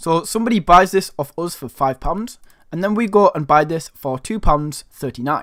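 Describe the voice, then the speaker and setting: A man with a high pitch speaks at a fairly quick pace in an animated tone with lively intonation, the sound dry and close with no echo. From northern England. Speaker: online money-making youtuber. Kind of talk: tutorial.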